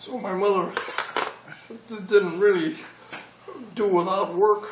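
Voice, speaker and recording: A man with a high voice speaks at a moderate pace and ordinary pitch variation, over noticeable background noise. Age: 80s+. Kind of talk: interview answer.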